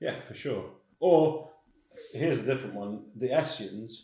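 A man with a Scottish accent at a fairly slow pace, with long, frequent pauses. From Scottish Highlands. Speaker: hill walker. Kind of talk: casual interview chat.

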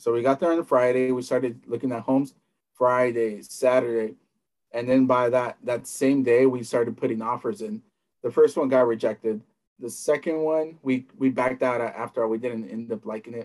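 A man speaks at a moderate pace with a medium pitch, fairly even intonation, and an American accent. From Southern California. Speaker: real estate investor and coach. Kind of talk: interview. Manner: halting.

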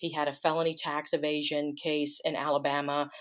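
A woman with a Southern US accent talks at a fairly low pitch. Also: very clean recording, silent background. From US South, Mississippi Delta. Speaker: author and historian. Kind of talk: interview.

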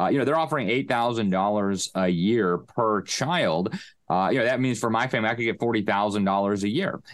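Over a quiet background, a man with a plain, everyday voice and fairly low pitch talks at a fairly quick pace, with ordinary pitch variation and very even loudness. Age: young. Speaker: journalist and education commentator. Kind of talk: interview. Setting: remote call while traveling.

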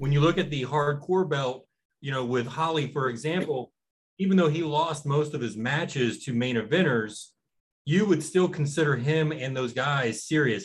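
This man's fairly high voice is somewhat breathy, moving at a moderate pace with ordinary pitch variation. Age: 40s. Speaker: wrestling podcast co-host. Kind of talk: casual chat.

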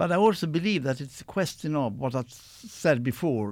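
Lively intonation in a Swedish accent at a moderate pace, on a very clean recording with a silent background. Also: man. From Sweden. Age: 60s. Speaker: professor. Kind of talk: live radio discussion. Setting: studio.

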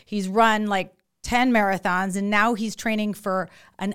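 A woman's animated, medium-pitched voice with an American accent at a moderate pace, on a very clean recording with a silent background. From San Francisco. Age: 50s. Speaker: doctor and podcast host. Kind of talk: casual interview.

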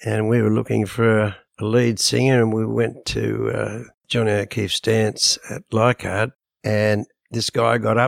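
This man has an Australian accent and speaks at a fairly slow pace. The sound is dry and close, with no echo. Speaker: rock drummer and author. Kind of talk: interview.

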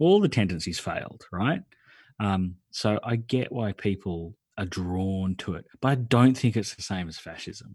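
A man speaks with an Australian accent at a fairly low pitch, fairly slow pace and ordinary pitch variation. His loudness swings widely on a very clean recording with a silent background. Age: 40s. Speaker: podcaster. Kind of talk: casual chat.

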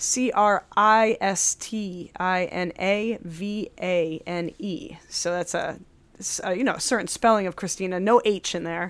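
With an American accent, the voice moves at a fairly slow pace and ordinary pitch variation. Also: woman, medium pitch for a woman. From upstate New York. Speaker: podcast host and banjo player. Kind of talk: casual interview chat. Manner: animated.

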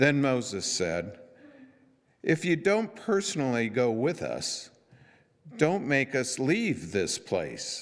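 The voice shows vocal fry and very wide pitch swings, moving at a very slow pace with long, frequent pauses. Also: man, fairly high pitch for a man. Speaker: scripture reader. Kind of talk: reading aloud. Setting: church.

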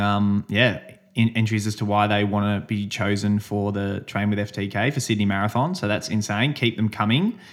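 A man with an Australian accent, fairly low in pitch, in a monotone, flat delivery at a moderate pace. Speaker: podcast host and amateur runner. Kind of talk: casual chat.

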